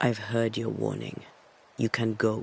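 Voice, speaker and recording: A raspy put-on character voice from a man, medium in pitch, at a moderate pace. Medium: video game. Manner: clipped, resolute.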